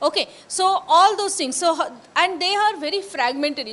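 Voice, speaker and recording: Fairly quick female speech with ordinary pitch variation. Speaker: anthropology professor. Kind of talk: lecture. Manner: halting with many fillers.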